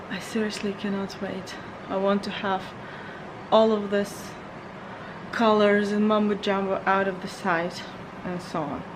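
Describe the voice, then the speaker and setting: A quiet woman's voice at medium pitch, monotone and flat, fairly slow with long, frequent pauses, amid audible room echo and noticeable background noise. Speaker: lifestyle vlogger. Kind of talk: casual vlog talk. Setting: at home. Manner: halting.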